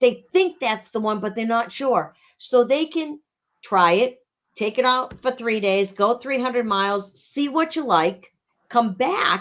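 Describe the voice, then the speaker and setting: A woman with fairly high pitch speaks at a fairly slow pace with lively intonation. The background is quiet. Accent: strong Boston. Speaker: RV rental and sales business owner. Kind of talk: casual interview. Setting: Facebook live show.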